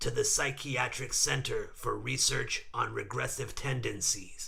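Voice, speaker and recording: Over light background noise, a man uses a robotic, put-on character voice at a moderate pace. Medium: read story. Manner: clipped, cold, interrogating.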